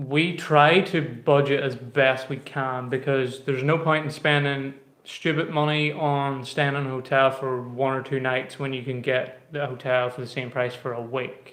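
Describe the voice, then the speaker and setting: With a strong Irish accent, a man speaks at a moderate pace with hardly any pauses. His medium pitch stays monotone and flat, and the room echo is audible. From Ireland. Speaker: travel vlogger. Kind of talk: casual live stream chat. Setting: live stream, quiet room.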